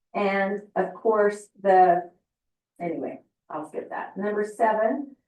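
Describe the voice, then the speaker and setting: Her voice sits at a medium pitch and she uses a normal speaking voice. The intonation stays fairly even. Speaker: family history presenter. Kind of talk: presentation.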